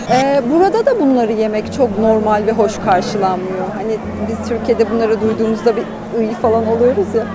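A woman at a fairly quick pace, dry sound with no echo, and crowd noise in the background. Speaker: travel vlogger. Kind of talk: casual vlog chat. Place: market. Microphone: phone near.

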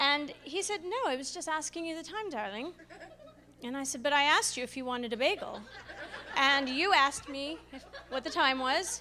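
A woman uses a raised, projected voice at a high pitch with lively intonation. She talks at a fairly quick pace over light background noise. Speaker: stand-up comedian. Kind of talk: stand-up comedy. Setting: stage with audience. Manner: animated. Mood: wry, humorous storytelling. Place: hall. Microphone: handheld.

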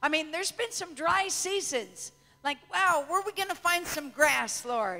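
A woman projects a raised voice at a fairly slow pace. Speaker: preacher. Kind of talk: sermon. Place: church. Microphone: handheld.

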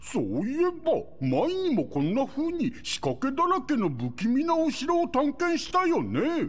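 This put-on character voice moves at a fairly slow pace with hardly any pauses. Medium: video game. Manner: slow, bumbling.

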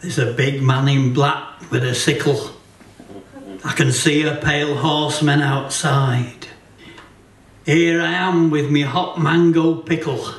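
A man with fairly high pitch and fairly even intonation speaks at a fairly slow pace with long, frequent pauses, and the room echo is audible. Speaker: poet. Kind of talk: comic poetry reading at a folk gathering. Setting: live performance in a hotel venue. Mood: wry, deadpan humour.

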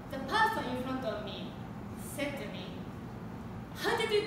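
A woman's voice with long, frequent pauses, audible room echo and loud background noise. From Japan. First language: Japanese. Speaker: public speaker. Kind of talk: prepared public speech. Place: classroom. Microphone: camera far.

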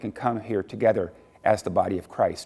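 With a quiet background, a man speaks at a fairly quick pace. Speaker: lead pastor. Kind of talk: welcome and church announcements. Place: church.

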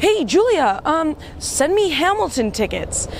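Very wide pitch swings mark this very slow delivery, recorded dry with no echo over light background noise. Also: woman. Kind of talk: casual vlog chat. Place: waterside.

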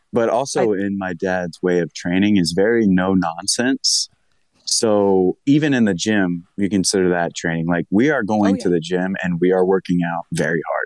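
Against a quiet background, a man with a very deep, low pitch speaks at a moderate pace with ordinary pitch variation, in a dry sound with no echo. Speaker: professional wrestler; podcast guest. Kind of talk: casual chat. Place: home room. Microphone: earbuds.

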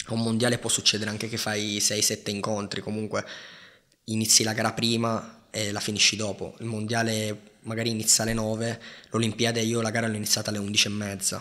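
A fairly low man's voice in a bright, sharp tone, at a fairly quick pace with monotone, flat intonation. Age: 20s. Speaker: professional judoka; podcast guest. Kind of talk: casual chat. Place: studio. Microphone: studio mic.

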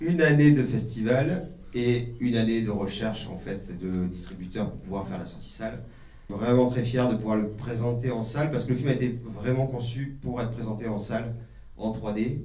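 A man at a moderate pace with ordinary pitch variation and audible room echo. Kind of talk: public presentation speech. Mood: proud, lightly joking. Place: hall.

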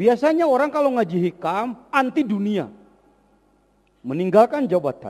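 A man's high voice covers very wide pitch swings as he talks at a moderate pace. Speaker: Islamic preacher. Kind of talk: religious lecture. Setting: mosque.

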